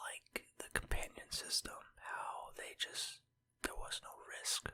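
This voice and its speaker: A very slow whisper. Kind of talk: ASMR rambling collection talk. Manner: whispered.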